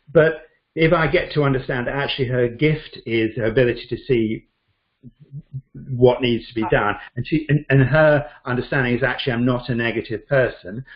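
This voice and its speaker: A man with a British accent speaks at a moderate pace in a somewhat breathy voice. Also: medium pitch for a man, fairly even intonation. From Britain. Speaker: Chinese medicine doctor. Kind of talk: interview answer.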